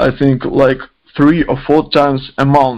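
Here a man talks at a fairly slow pace and a fairly high pitch. His intonation is monotone and flat. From Ukraine, Izium. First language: Ukrainian or Russian. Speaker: indie rock musician. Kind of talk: interview. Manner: halting.

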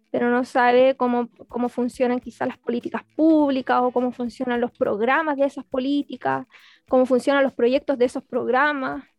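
The speaker has a Chilean accent. The intonation stays monotone and flat. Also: woman, high pitch for a woman, moderate pace. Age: 20s. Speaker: social work graduate student and party activist. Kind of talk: interview.

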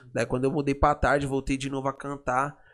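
This man has an unremarkable speaking voice, pitched fairly high. He talks at a fairly quick pace. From São Paulo, São Remo community. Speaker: funk MC. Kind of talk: casual interview.

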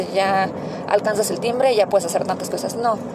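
Noticeable background noise behind a woman at medium pitch. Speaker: podcast host, mother. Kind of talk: casual monologue. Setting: in a car. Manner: chatty, many fillers.

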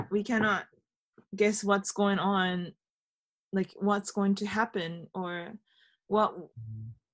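Long, frequent pauses break up a woman's very slow speech. Her pitch is medium and her intonation fairly even. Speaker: radio host. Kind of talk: interview for a radio show, casual chat. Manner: nervous, cheerful.

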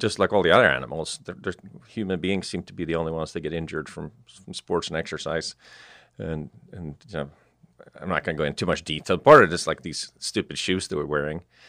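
A bright, sharp voice in a Swedish accent talks at a very fast pace with ordinary pitch variation. Its loudness swings widely. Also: man, very deep, low pitch for a man. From southern Sweden. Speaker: entrepreneur. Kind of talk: interview. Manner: halting, with frequent repetitions.

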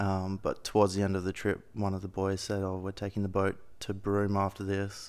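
In an Australian accent, a man talks at a moderate pace with a fairly low pitch. His intonation is monotone and flat. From Perth, Western Australia. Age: 30s. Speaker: aerial photographer. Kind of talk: casual chat.

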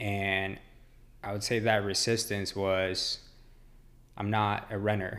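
A very slow, monotone delivery with flat intonation, long and frequent pauses, and audible room echo. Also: man, fairly low pitch for a man. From Mexico, raised in Dallas, Texas. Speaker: ultramarathon runner. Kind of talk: casual interview.

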